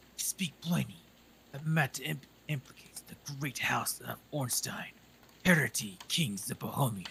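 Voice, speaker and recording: The voice is a man's put-on character voice, whispered. He moves along at a moderate pace. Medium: virtual streamer. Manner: formal, haughty.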